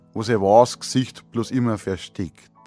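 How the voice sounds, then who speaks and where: A man speaks with music playing in the background. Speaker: dialect poet. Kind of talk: poetry reading.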